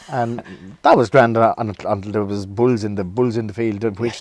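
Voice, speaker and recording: This man's voice sits at a medium pitch. The intonation stays monotone and flat throughout. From Ireland, South Kilkenny near Waterford. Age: 60s. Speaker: folk guitarist. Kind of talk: casual interview, life story. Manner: halting, repeats words.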